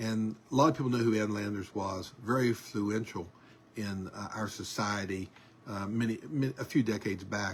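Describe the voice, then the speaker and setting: A somewhat breathy man with a medium pitch and a moderate pace. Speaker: online news show host. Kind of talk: casual monologue. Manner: hesitant with many fillers.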